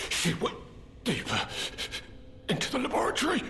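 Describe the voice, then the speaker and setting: A man's put-on character voice at a fairly quick pace, with clear background noise. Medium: video game. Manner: stammering, repetitive, frantic.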